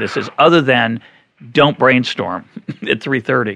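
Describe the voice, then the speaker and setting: Bright and sharp in tone, a man with an American accent speaks at medium pitch with lively intonation. The sound is dry and close, with no echo. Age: 50s. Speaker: podcast host, economist. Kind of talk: interview conversation.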